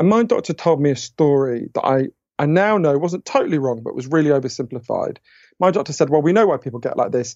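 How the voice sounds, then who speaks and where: A man speaks very fast with a British accent and lively intonation. His pitch is fairly high. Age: 40s. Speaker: author. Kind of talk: interview conversation.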